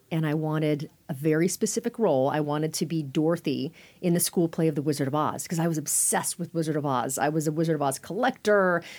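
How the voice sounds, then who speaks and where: On a very clean recording with a silent background, the voice speaks with a Californian accent, ordinary pitch variation and hardly any pauses. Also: woman, very deep, low pitch for a woman. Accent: General American (Californian). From Northern California (Sacramento). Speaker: communications coach and former TV journalist. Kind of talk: interview conversation.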